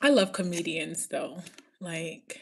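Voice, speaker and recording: A woman with an American accent speaks in an animated tone at a fairly slow pace, on a very clean recording with a silent background. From New York. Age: 30s. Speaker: livestreamer. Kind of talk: casual livestream chat.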